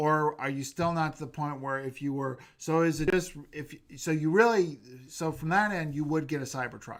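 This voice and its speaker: This man's fairly high voice shows ordinary pitch variation as he talks at a moderate pace. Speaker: YouTube livestream host. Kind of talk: casual chat. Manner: loud.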